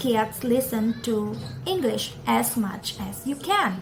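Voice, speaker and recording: The speech comes at a very slow pace in an Indonesian accent. Noticeable background noise runs underneath. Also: woman. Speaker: parenting vlogger. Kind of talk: tutorial. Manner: casual, conversational.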